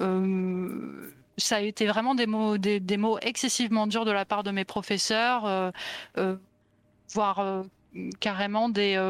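At a very slow pace with long, frequent pauses, a woman speaks in a medium pitch with monotone, flat intonation and very even loudness, on a very clean recording with a silent background. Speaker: illustrator. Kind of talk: interview.

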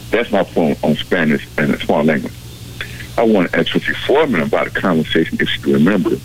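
Very fast talking from a man, with noticeable background noise. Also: very even loudness. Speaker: caller. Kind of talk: call-in talk show. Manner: halting.

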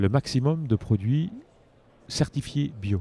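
A man's somewhat breathy voice has a dark, mellow tone and ordinary pitch variation, with a dry, close sound with no echo. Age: 50s. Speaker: coffee roaster and business owner. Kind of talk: interview. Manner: halting.

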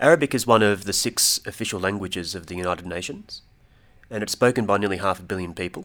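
A man talks at a very fast pace with an Australian accent and a fairly low pitch. The recording is very clean, with a silent background. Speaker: Arabic learner, student of Middle East politics. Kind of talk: casual educational chat.

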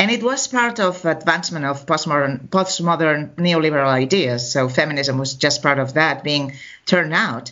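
A woman's very deep, low voice with lively intonation, a moderate pace and hardly any pauses. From Catalonia, Spain, textile town near Barcelona. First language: Spanish or Catalan. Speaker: anthropology professor and feminist activist. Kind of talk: interview.

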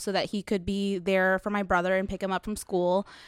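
At a fairly quick pace, a woman with an American accent speaks at a medium pitch. She has a normal speaking voice, recorded dry and close with no echo. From Dallas, Texas (Webb Chapel area). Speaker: community organizer. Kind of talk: casual interview.

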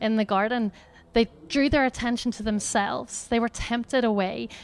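A woman speaks in a Northern Irish accent at a moderate pace. Her fairly high voice keeps fairly even intonation. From Northern Ireland. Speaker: charity educator. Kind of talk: talk at a church gathering with prayer.

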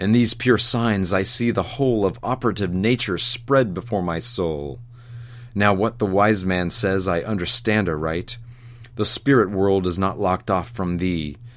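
A man with a plain, everyday voice speaks at a moderate pace in a fairly low pitch with ordinary pitch variation. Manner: rising ecstatic wonder, exclamatory and breathless; fearful, urgent pleading as the spirit appears.

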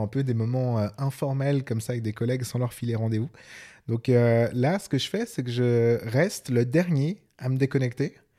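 The recording is very clean with a silent background. A man speaks at a medium pitch in a dark, mellow tone. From Switzerland. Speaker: podcast co-host. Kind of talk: casual chat.

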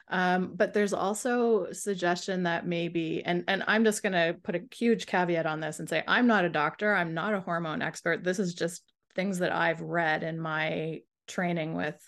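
A woman speaks with a fairly low pitch and vocal fry, her intonation fairly even against a quiet background. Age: 50s. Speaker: sleep coach. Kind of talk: casual chat.

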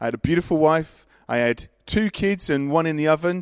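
This male speaker has an English accent. The background is silent and the recording very clean. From Worcester, England. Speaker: pastor. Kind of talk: panel interview.

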